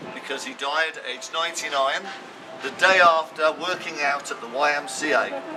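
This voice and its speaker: At a moderate pace, a man speaks with ordinary pitch variation and a fairly high pitch against noticeable background noise. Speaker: town crier, walking tour guide. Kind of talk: walking tour guide talk, storytelling to a group. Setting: outdoors, walking tour.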